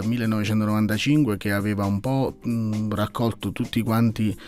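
A man speaks at a moderate pace with a fairly low pitch and a slightly mellow tone while faint music plays in the background.

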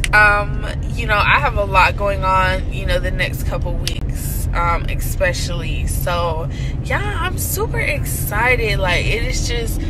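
Over noticeable background noise, a woman speaks at a very slow pace. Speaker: vlogger. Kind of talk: casual vlog chat. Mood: excited, upbeat. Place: car. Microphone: phone near.

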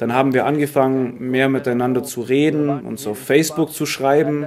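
Over noticeable background noise, a man with an Arabic accent talks at a moderate pace in a fairly high pitch. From Syria. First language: Arabic (speaking German). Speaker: refugee student; interviewee. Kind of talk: interview. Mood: relaxed, friendly. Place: street.

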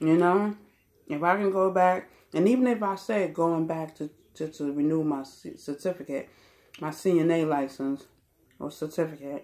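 A woman talks in a plain, everyday voice, pitched fairly low. Her pitch varies in an ordinary way. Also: moderate pace. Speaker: vlogger. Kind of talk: casual vlog chat. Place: home room. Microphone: phone near.

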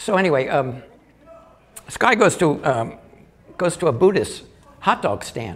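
Lively intonation carries speech delivered at a moderate pace. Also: man. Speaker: stand-up comic and artist. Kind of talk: stand-up comedy. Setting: live audience room. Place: stage. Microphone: handheld.

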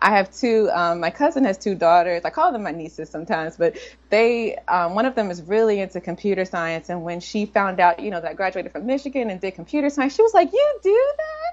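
A woman with an American accent talks at a very fast pace, her intonation lively and hardly any pauses breaking it up. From Washington, D.C. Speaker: computer science professor. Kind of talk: interview. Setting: remote call from a conference in New York. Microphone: video call.

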